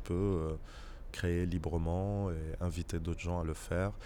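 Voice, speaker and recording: Speaking at a very slow pace, a man uses a very deep, low voice with a dark, mellow tone. Audible room echo surrounds him. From Morocco, Fès. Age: 30s. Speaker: theatre actor and director. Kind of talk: interview. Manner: halting.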